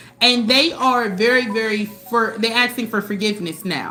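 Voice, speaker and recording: A woman with a high-pitched voice is heard over noticeable background noise. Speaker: tarot reader. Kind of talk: live tarot reading. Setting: livestream. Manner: fast.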